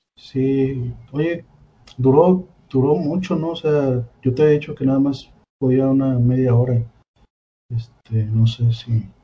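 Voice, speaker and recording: The speaker, with a Mexican accent, talks very slowly and somewhat breathily, taking long, frequent pauses, with ordinary pitch variation. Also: man, medium pitch for a man. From Mexico, Colima. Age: 20s. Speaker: comedian. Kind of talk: casual chat.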